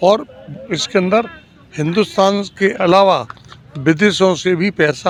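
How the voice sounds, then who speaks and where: This man talks at a high pitch with ordinary variation in his intonation. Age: 60s. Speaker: member of public, former newspaper writer. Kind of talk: street interview.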